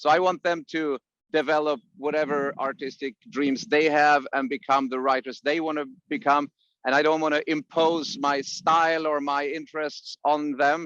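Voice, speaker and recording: In a Swedish accent, a man speaks at a moderate pace with a fairly high pitch and fairly even intonation, the sound dry and close with no echo. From Sweden, Piteå in the north. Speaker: musician and songwriting teacher. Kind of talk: interview.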